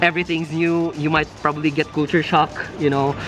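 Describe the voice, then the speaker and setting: A man talks very fast at a fairly high pitch with a Filipino accent. Noticeable background noise is present. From Philippines. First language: Filipino language. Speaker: nurse vlogger. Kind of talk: casual chat. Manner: halting, many fillers.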